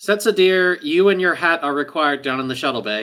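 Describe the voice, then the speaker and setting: Using a put-on character voice, a man talks at a high pitch and a fairly quick pace. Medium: actual play.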